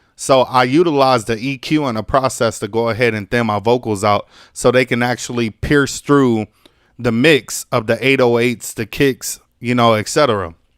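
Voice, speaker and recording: A man with an ordinary speaking voice and medium pitch talks at a moderate pace with fairly even intonation, in a dry, close sound with no echo on a very clean recording with a silent background. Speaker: music producer and mixing engineer. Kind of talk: tutorial. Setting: live stream. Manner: casual, many fillers.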